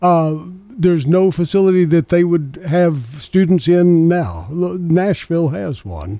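Speaking at a fairly slow pace, a man with a high pitch and a dark, mellow tone varies his pitch in an ordinary way. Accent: Southern US. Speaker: radio host. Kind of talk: radio interview. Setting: studio.

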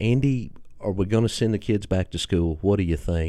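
A man with a Tennessee accent speaks at a moderate pace in a dark, mellow tone with ordinary pitch variation against a quiet background. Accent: Southern US, Tennessee. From Tennessee, US. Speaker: podcast host. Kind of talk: casual podcast interview. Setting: radio studio.

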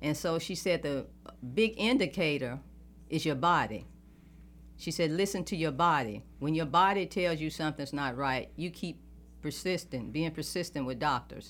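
With a Southern US accent, a woman speaks at a very deep, low pitch with vocal fry. Her intonation is lively and her pace moderate. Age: 60s. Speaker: politician. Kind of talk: interview.

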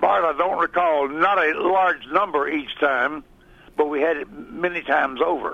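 A man with a Southern US accent and fairly high pitch speaks at a moderate pace with ordinary pitch variation. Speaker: former radio broadcaster and local politician. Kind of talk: casual radio interview. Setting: studio.

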